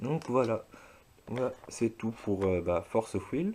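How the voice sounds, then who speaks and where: In a very clean recording with a silent background, a man with a dark, mellow tone speaks at a very slow pace. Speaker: YouTuber doing a card game demo. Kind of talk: product demonstration. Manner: halting, many hesitations.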